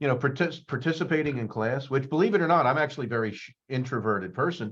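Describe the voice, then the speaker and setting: This is a man talking. He goes at a very fast pace. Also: quiet background. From US Northeast, suburbs of Philadelphia. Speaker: psychology professor. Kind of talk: career talk presentation. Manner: hesitant, many fillers and repetitions.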